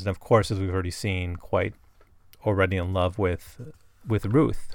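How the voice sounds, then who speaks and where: This man talks at a fairly quick pace. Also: very clean recording, silent background. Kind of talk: solo literary analysis podcast. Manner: casual, with many fillers.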